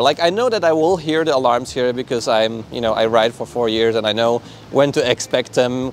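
A man at a fairly quick pace, dry sound with no echo, and music in the background. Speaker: electric unicycle reviewer. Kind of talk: product review talk to camera. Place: street. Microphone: lapel.

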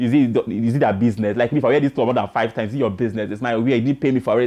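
Delivered at a very fast pace, the speech has an animated tone and ordinary pitch variation. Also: man. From Nigeria. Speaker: entertainment news show host. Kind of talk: entertainment news chat. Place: studio. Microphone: lapel.

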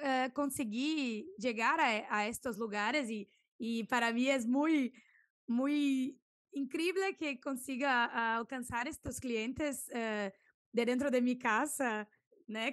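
Speaking with a Brazilian accent, a woman with a high pitch and ordinary pitch variation goes at a very slow pace, the sound dry with no echo and the background quiet. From southern Brazil, Santa Maria; southern Brazil. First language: Portuguese (speaking Spanish). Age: 20s. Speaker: food and product photographer; podcast guest. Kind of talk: interview. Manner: halting, searching for Spanish words. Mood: cheerful, animated. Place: home room. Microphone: studio mic.

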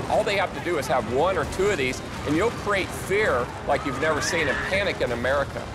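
Music can be heard behind him. The man's pace is fairly quick. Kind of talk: interview answer. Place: studio. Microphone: lapel.

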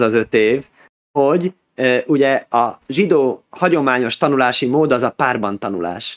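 A man's voice sits at a medium pitch. The recording is dry and close, without any echo. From Budapest, Hungary. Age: 30s. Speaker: rabbi. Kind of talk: interview. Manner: halting, with repeated words.

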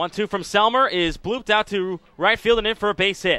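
An animated tone comes through from this man. He keeps a moderate pace. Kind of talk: live commentary. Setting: ballpark broadcast. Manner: animated, excitable home-run calls.

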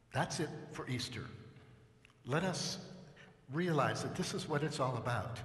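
A man with a medium pitch and fairly bright tone speaks at a fairly slow pace with lively intonation.

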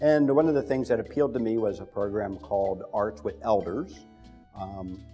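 A man talks at a moderate pace while faint music sits in the background. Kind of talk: interview answer. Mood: warm, reflective. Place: studio. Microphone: lapel.

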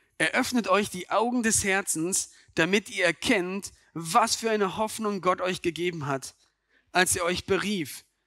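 A man's raised, projected voice, high-pitched with a bright, sharp tone, at a fairly slow pace on a very clean recording with a silent background. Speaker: preacher. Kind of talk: sermon to a church congregation. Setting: church with microphone and congregation. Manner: earnest, direct, addressing listeners as 'du'; conversational, with rhetorical questions and occasional stumbles.

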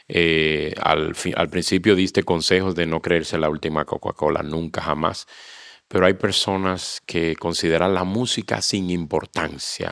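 Against a quiet background, a man with a very deep, low voice speaks with fairly even intonation, the sound dry with no echo. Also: fairly slow pace. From Dominican Republic. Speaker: pastor and interviewer; pastor, interviewer. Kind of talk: interview hosting. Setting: church association facility. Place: hall. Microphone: handheld.

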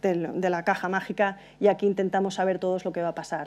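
A woman with a dark, mellow tone speaks at a moderate pace in a monotone, flat way. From Spain, Valencia. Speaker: transport consultant. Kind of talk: conference talk. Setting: stage with audience. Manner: hesitant, frequent fillers. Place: hall.

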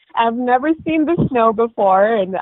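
A woman's fairly high voice with lively intonation and an American accent, fairly slow, in a dry, close sound with no echo

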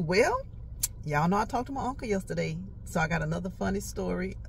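Over light background noise, a woman talks at a fairly quick pace with very wide pitch swings, the sound dry with no echo. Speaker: vlogger. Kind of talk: casual vlog chat. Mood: amused, laughing often. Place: car. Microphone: handheld.

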